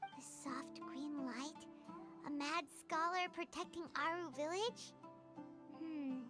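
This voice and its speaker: A put-on character voice with a high pitch moves at a fairly slow pace through long, frequent pauses, with clear music in the background. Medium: video game. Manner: curious, inquisitive.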